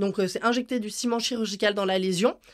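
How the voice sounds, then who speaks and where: A woman talks at a fairly quick pace in a plain, everyday voice with fairly even intonation. The recording is very clean, with a silent background. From Switzerland. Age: 20s. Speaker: circus artist. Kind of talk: interview.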